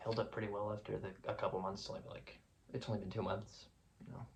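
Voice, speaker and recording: A man talks very fast, with audible room echo and noticeable noise in the background. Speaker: music reviewer YouTuber. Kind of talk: casual video vlog reflection. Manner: hesitant, filler-heavy.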